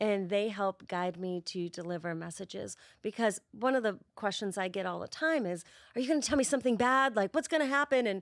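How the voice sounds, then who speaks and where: On a very clean recording with a silent background, a woman with a Boston accent speaks at a fairly quick pace in a medium pitch, her intonation lively. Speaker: spirit medium. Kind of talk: podcast interview.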